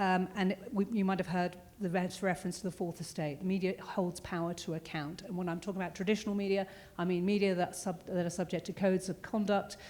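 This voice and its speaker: With a British accent, a woman speaks at a very fast pace in a medium pitch, her intonation monotone and flat. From Britain. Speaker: security consultant, former journalist. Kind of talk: panel discussion.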